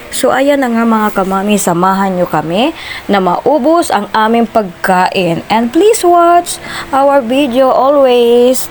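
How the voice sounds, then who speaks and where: A woman speaks very slowly at a high pitch, with very wide pitch swings and very even loudness, over noticeable background noise. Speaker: vlogger. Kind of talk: vlog narration. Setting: restaurant.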